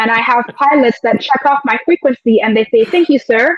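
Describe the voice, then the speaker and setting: A woman talks at a fairly quick pace and high pitch with lively intonation, in a dry, close sound with no echo. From UAE. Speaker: air traffic controller and training instructor. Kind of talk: interview. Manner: conversational, many fillers.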